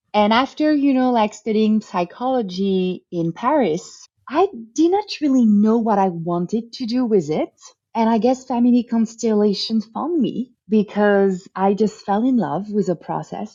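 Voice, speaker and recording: In a French accent, the voice comes out somewhat breathy, with lively intonation at a fairly slow pace. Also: woman, fairly high pitch for a woman. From France. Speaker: family constellation therapist. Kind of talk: interview.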